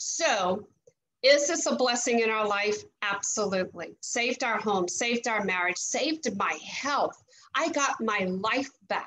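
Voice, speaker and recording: A woman speaks at a fairly slow pace in a fairly high pitch. Her tone is bright and sharp. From Louisiana. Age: 50s. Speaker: network marketing leader, former teacher. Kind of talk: testimony. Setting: video call. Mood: earnest, upbeat testimonial. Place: home room. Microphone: video call.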